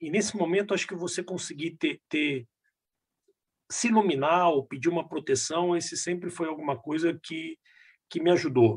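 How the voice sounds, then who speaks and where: Against a quiet background, a man with a high pitch speaks at a moderate pace with ordinary pitch variation and long, frequent pauses. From Brazil, Minas Gerais (Belo Horizonte). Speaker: business executive. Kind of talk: casual interview. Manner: halting, repetitive fillers.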